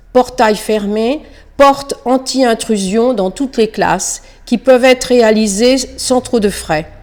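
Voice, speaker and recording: A dark, mellow tone at a very slow pace, with ordinary pitch variation. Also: woman. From Île-de-France. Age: 60s. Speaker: retired schoolteacher and local election candidate. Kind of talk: prepared campaign statement.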